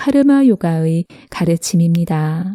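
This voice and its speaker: A woman with a dark, mellow tone and a calm, soothing delivery speaks at a very slow pace, the sound dry and close with no echo. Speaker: narrator. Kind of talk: meditative essay reading.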